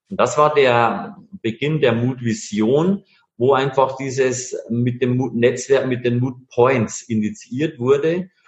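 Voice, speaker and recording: A man talks at a very slow pace with a medium pitch. His voice is somewhat breathy. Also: ordinary pitch variation. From Bavaria, Bavarian Forest. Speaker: master engraver, entrepreneur. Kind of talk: interview.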